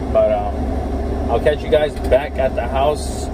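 Someone talks at a fairly slow pace against loud background noise. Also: man. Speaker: car parts vlogger. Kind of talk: casual vlog chat. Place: car. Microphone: phone near.

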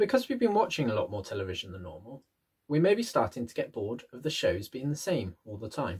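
A man at a very fast pace, with big swings in loudness and very wide pitch swings, over a quiet background. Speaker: presenter. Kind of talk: tutorial. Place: home room. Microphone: webcam.

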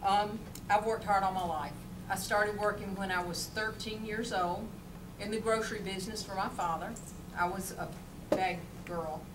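Over noticeable background noise, a woman speaks with long, frequent pauses. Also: moderate pace. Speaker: candidate. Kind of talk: campaign speech. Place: meeting room. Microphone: camera far.

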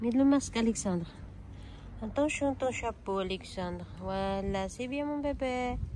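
A woman talks at a moderate speed, her voice carrying audible echo from the room. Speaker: family vlogger. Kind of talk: casual vlog narration. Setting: outdoors at castle and church.

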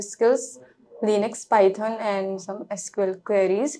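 A woman's fairly high-pitched voice, monotone and flat in intonation, over light background noise. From India, Lucknow, Uttar Pradesh; Uttar Pradesh, India. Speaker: cybersecurity student; interview candidate. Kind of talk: mock job interview. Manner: halting. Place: office.

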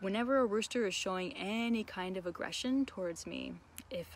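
A woman speaks at a moderate pace with ordinary pitch variation. The sound is dry with no echo, over light background noise. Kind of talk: casual educational vlog chat. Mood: warm and enthusiastic. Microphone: phone near.

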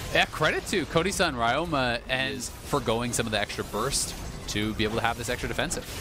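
The speaker talks at a fairly quick pace with ordinary pitch variation. Noticeable background noise runs underneath. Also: man, medium pitch for a man. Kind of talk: esports commentary with analysis. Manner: calm, explanatory analyst.

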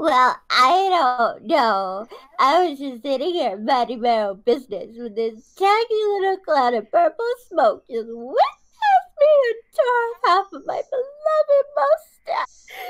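In a put-on character voice, the speaker uses an extremely high pitch with very wide pitch swings at a fairly slow pace. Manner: flamboyant, theatrical.

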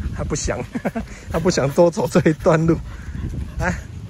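With a Taiwanese accent, a man speaks in a dry, echo-free sound over noticeable background noise. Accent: Taiwanese Mandarin. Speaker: pet vlogger. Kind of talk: casual vlog monologue. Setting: outdoors. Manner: halting, many filler particles. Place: open country. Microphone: phone near.

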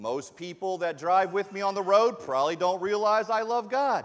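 Against a quiet background, a man talks fairly slowly. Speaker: preacher. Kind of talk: sermon. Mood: warm, self-deprecating humour. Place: church. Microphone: lapel.

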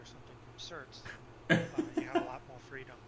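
A man is speaking. His pace is fairly quick. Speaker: player being interviewed. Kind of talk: post-match interview, casual chat. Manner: casual, rambling, hedging.

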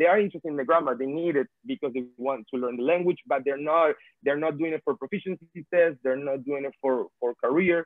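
A man with a Venezuelan accent speaks very fast at a fairly high pitch, with ordinary pitch variation. The sound is dry with no echo, and the background is quiet. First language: Spanish. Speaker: language tutor and filmmaker; language teacher panelist. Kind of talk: webinar talk about teaching experience. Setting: video call. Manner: repeats words, halting. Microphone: video call.

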